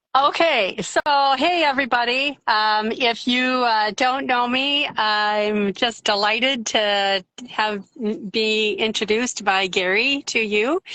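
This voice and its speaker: A woman speaks very slowly in an Upper Peninsula Michigan accent. Her pitch is fairly high with ordinary variation, and her loudness stays very even. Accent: Upper Peninsula Michigan accent, mild. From Upper Peninsula of Michigan. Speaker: yarn dyer. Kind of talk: casual interview chat.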